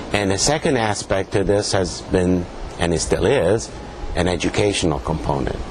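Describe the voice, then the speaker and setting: Over noticeable background noise, a man speaks at a moderate pace with a Spanish accent. His pitch is very deep and low, and his intonation is lively. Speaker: pathologist, professor. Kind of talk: interview. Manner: halting, many fillers.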